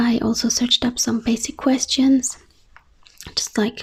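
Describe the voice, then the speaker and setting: A soft-spoken woman talks at a high pitch. Her intonation is monotone and flat. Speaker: ASMR creator. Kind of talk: Q&A video.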